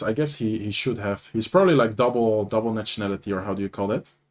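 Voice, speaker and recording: In a very clean recording with a silent background, a man talks at a very fast pace with a Dutch accent. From Netherlands. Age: 20s. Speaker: gaming streamer and commentator. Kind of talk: live commentary. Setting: livestream. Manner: casual, animated.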